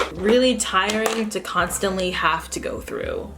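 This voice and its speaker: A woman speaks with music in the background. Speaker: beauty and lifestyle vlogger. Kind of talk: casual vlog monologue. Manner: halting.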